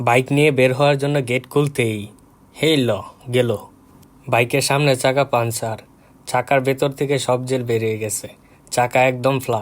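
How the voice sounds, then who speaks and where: A man's medium-pitched voice, monotone and flat. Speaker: vlogger. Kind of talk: vlog narration.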